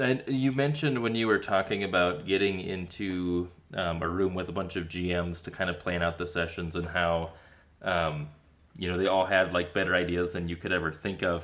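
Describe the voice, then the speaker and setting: A man speaks with an American accent. His pitch is very deep and low, with ordinary variation. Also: moderate pace. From Minnesota, small town. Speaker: podcast host. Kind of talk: casual interview chat.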